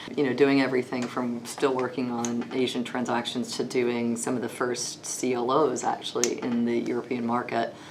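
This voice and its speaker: With a Texas accent, a woman speaks in a very deep, low pitch and a monotone, flat intonation. Her recording carries audible room echo and noticeable background noise. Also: moderate pace, hardly any pauses. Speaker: lawyer. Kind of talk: interview. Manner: hesitant, many fillers.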